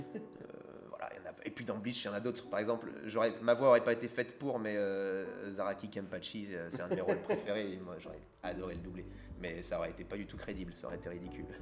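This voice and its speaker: At a very fast pace, a man with a fairly low pitch speaks with ordinary pitch variation and big swings in loudness. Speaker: voice actor. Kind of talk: interview.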